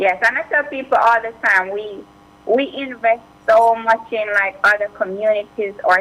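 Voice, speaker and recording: Words arrive fairly slowly, and the pitch shifts in an ordinary way. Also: woman. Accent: Jamaican. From Jamaica. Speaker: immigration attorney. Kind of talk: radio interview.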